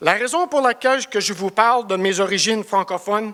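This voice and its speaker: Heard in a dry, close sound with no echo, a man with a high pitch and a bright, sharp tone talks at a moderate pace with ordinary pitch variation. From Cornwall, eastern Ontario, Canada (Franco-Ontarian). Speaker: construction project director. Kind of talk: business presentation. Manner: halting, searching for words.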